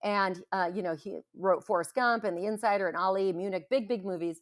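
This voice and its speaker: In a very clean recording with a silent background, a woman speaks in a normal speaking voice at a medium pitch with ordinary pitch variation. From Greece, moved to US as a child. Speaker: business founder. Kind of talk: podcast interview. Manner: fast, with many fillers and restarts.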